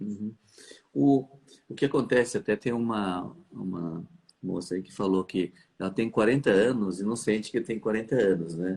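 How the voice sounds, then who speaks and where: A man has an unremarkable speaking voice, fairly low in pitch, with ordinary pitch variation. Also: moderate pace. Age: 60s. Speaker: fertility doctor. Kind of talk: live stream conversation. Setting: live stream.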